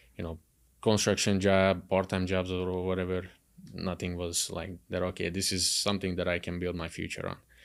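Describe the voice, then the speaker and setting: On a very clean recording with a silent background, a man speaks with a Hungarian accent. His very deep, low voice stays monotone and flat. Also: moderate pace. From Hungary. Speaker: car salesman. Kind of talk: podcast interview.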